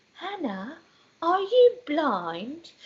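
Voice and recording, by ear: A put-on character voice in a British accent, high-pitched with very wide pitch swings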